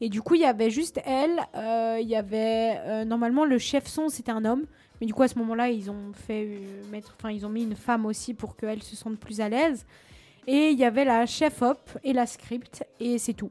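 A woman's voice has a fairly high pitch and a dark, mellow tone. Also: ordinary pitch variation, moderate pace. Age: 20s. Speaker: actress. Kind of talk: interview. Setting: studio.

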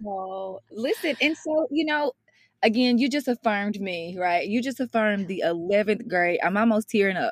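In a Mississippi accent, a woman talks at a moderate pace with a fairly high pitch and lively intonation, the sound dry and close with no echo on a very clean recording with a silent background. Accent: Southern US (Mississippi), rural. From Mississippi, US South. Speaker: education consultant and motivational speaker. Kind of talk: interview. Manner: animated.

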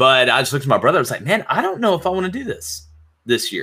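A man with an Alabama accent. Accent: Southern US (Alabama). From Alabama, US South. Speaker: sports podcast host, former coach. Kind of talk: casual interview chat.

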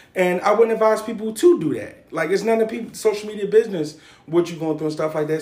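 Noticeable background noise behind a male speaker's ordinary pitch variation. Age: 30s. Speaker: podcast host. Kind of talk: casual chat.

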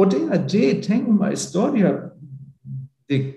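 A man speaks at a very slow pace with a high pitch. His intonation is lively. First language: German (speaking Portuguese). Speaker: academic exchange organization director. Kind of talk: interview. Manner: halting.

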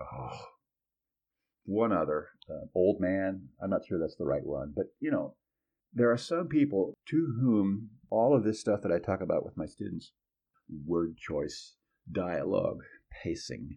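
A man speaks at a fairly slow pace with a fairly low pitch. His long pauses come often. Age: 60s. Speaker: journalism professor. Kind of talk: interview.

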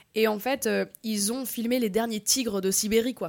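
Here is a woman with an ordinary speaking voice, fairly high in pitch and fairly even in intonation. She keeps a moderate pace on a very clean recording with a silent background. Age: 30s. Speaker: actress and web creator. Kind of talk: casual panel discussion.

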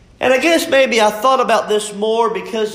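There is noticeable background noise. Over it, a man speaks at a high pitch. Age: 30s. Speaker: pastor. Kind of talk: sermon.

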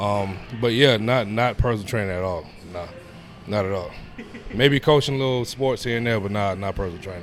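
Fairly quick speech in an American accent with ordinary pitch variation, long, frequent pauses, music in the background and audible room echo. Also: man, fairly low pitch for a man. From New York. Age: 30s. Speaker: personal trainer. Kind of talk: casual interview. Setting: gym.

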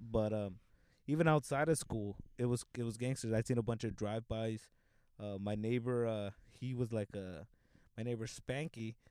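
A man speaks with an American accent at a medium pitch and a moderate pace. His tone is dark and mellow, with ordinary pitch variation. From Los Angeles, South Central. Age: 20s. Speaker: comedian. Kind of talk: casual chat.

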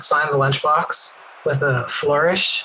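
There is noticeable background noise in this recording. Over it, a man talks with a fairly high pitch. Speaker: player of a wrestler character. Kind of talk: casual tabletop role-play.

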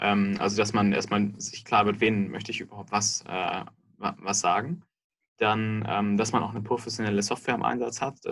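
With a normal speaking voice, a man talks at a moderate pace. His pitch is fairly low. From Munich, Bavaria (southern Germany). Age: 30s. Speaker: software company executive. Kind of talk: interview.

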